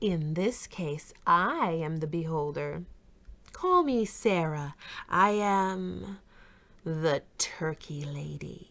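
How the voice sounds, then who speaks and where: A put-on character voice, female-sounding and fairly low in pitch, at a very slow pace. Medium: read story.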